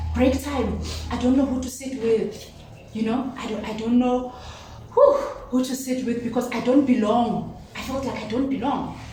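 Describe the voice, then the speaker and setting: Someone speaks in a South African accent at a moderate pace, with noticeable background noise. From South Africa, Limpopo (Venda village). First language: Venda. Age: 30s. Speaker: talk show guest. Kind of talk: casual chat. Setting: home kitchen.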